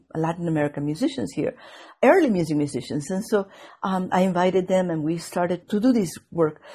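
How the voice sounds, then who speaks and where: Somewhat breathy, a woman talks at a fairly quick pace in a fairly low pitch, with ordinary pitch variation. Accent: Venezuelan. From Venezuela. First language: Spanish. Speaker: viola da gamba player and scholar. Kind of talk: interview conversation. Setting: video call. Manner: hesitant, many fillers.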